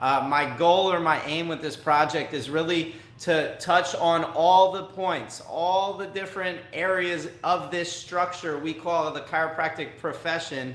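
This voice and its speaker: A man with an American accent speaks at a fairly slow pace with a high pitch, fairly even intonation and hardly any pauses. Background noise is noticeable and room echo is audible. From New York. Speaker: podcast host. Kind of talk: interview conversation.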